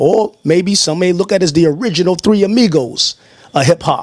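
A man with an American accent and ordinary pitch variation, in a dry sound with no echo against a quiet background. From New York. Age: 40s. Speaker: interviewer. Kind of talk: interview. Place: home room. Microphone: handheld.

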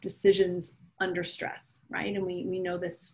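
A woman speaks at a fairly slow pace. Her voice is somewhat breathy, with a dark, mellow tone. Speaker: strategic planning facilitator. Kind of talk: conversational professional presentation. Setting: council meeting, remote. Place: home room. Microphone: video call.

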